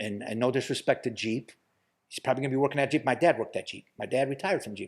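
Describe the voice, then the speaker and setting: In a very clean recording with a silent background, a man with an American accent talks at a very fast pace in a fairly high pitch. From US Midwest, Toledo, Ohio. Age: 50s. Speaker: podcast guest. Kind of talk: casual chat. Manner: halting, repeats words.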